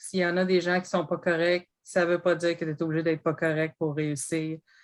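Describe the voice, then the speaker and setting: A woman speaks with a Quebec accent. Her pace is moderate. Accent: rural Quebec French. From Quebec, Bas-Saint-Laurent. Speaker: sales representative with a PhD, panelist. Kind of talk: panel discussion. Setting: online video event.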